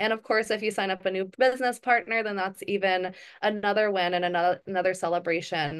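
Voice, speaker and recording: A woman at a very fast pace with fairly even intonation, over a quiet background. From Hawaii. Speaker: network marketing council member and call host; wellness business host. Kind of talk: group video call presentation. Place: home room. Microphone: webcam.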